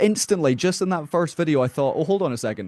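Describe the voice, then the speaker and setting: A man speaks very fast with a Scottish Highland accent, his fairly high voice lively in intonation, over a quiet background with a dry, close sound and no echo. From far north of Scotland. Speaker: metal musician. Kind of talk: podcast interview.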